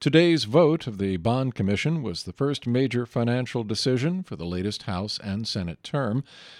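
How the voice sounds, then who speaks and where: With an unremarkable speaking voice at a medium pitch, a man talks with lively intonation, his sound dry and close with no echo on a very clean recording with a silent background. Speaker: radio news anchor. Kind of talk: radio newscast, scripted news reading. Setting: studio. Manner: formal; measured, even-paced, steady and neutral delivery.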